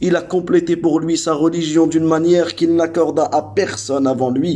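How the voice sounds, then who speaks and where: A man with a non-native accent talks fairly slowly at a fairly high pitch. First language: not Arabic (speaking French). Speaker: Islamic religious teacher. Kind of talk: religious lesson. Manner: hesitant, with fillers and repetitions.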